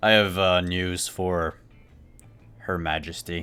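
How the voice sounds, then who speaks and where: Using a put-on character voice, a man speaks very deep and low with monotone, flat intonation. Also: fairly slow pace. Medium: actual play. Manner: casual, easygoing.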